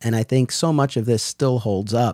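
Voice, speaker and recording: Recorded very cleanly against a silent background, with a dry, close sound and no echo, a man speaks at a moderate pace in a plain, everyday voice of medium pitch. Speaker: podcast host. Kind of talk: scripted intro and casual interview chat.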